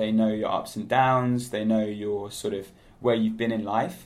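Someone with a British accent speaks at a fairly slow pace with fairly even intonation. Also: man. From United Kingdom. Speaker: digital nomad. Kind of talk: interview.

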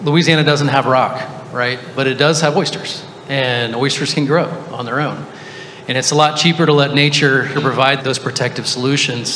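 Over noticeable background noise, a man with a fairly high pitch speaks at a moderate pace in a flat monotone. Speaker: startup CEO. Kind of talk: panel discussion. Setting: stage with audience.

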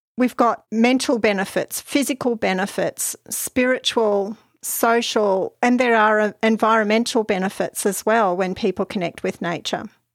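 A fairly high woman's voice in an Australian accent with fairly even intonation and hardly any pauses, dry and close with no echo, in a very clean recording over a silent background. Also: moderate pace. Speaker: podcast host, mental health social worker. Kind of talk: solo podcast talk.

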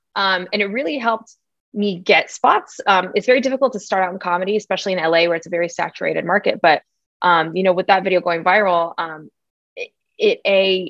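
A woman talks at a very fast pace in a General American accent. Her pitch is medium, with ordinary pitch variation. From United States, Iraqi parents. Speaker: comedian. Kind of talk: interview. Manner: animated.

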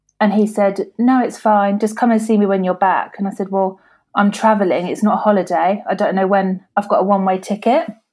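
A woman with a southeast English accent at a fairly quick pace, in a very clean recording with a silent background. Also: medium pitch for a woman, fairly even intonation. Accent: south-east English. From Kent, England. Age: 20s. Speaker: hairdresser and patient with a rare condition. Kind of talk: interview.

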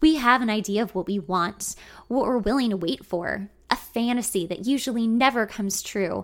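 The speaker uses a natural reading voice. Pitch varies in an ordinary way.

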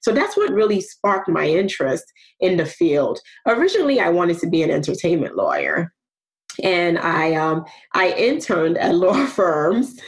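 A woman with a New York accent talks at a moderate pace with very even loudness. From New York (Brooklyn), with some childhood in Nigeria. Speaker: program manager in a diversity initiative. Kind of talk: interview.

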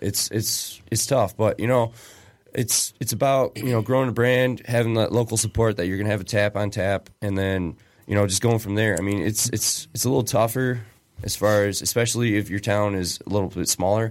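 With a Michigan accent, a man speaks at a fairly quick pace, fairly low in pitch, with fairly even intonation. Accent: general American, Michigan.

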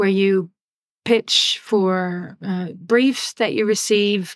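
The voice carries a Dutch accent, recorded with a dry, close sound and no echo. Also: woman. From Netherlands. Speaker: music sync manager. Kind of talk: interview. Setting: video call.

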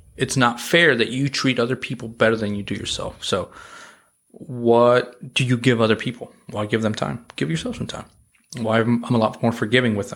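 Moving at a fairly quick pace, a plain, everyday voice shows ordinary pitch variation. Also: man, medium pitch for a man. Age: 30s. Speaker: restaurant industry leader. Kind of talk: casual chat.

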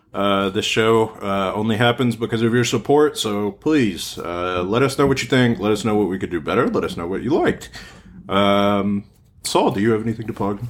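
Recorded very cleanly against a silent background, a man in a normal speaking voice talks at a moderate pace, his fairly low pitch showing ordinary variation. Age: 20s. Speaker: sports podcast host. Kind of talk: casual chat.

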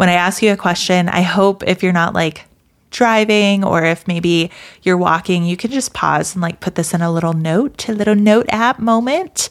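A woman with an American accent talks at a moderate pace and medium pitch, with ordinary pitch variation and a plain, everyday voice, in a very clean recording with a silent background. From US South. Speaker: podcast host and business founder. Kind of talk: solo casual talk.

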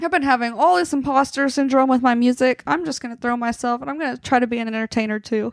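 A woman's high voice shows ordinary pitch variation on a very clean recording with a silent background. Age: 20s. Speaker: podcast host and singer-songwriter. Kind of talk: casual chat.

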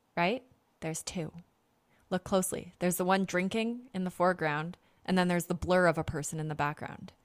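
In a very clean recording with a silent background, a woman speaks with a Canadian accent. Her pitch is fairly low and her pace moderate. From Canada. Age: 30s. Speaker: podcast host. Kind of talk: casual monologue. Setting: home recording. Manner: rambling, frequent laughter and fillers.

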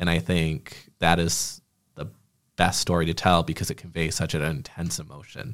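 A man with an American accent speaks at a moderate pace in a very deep, low voice with vocal fry and ordinary pitch variation. The recording is very clean, with a silent background. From Michigan, Genesee County. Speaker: communications coordinator and podcast host. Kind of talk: casual chat.

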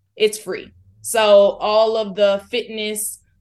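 A woman's voice with an American accent. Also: quiet background. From Florida. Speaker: community organizer. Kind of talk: interview.

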